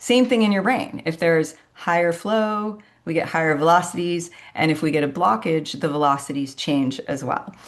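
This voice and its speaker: A normal speaking voice with lively intonation at a moderate pace, over a quiet background. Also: woman, fairly low pitch for a woman. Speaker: medical specialist presenter. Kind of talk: educational presentation.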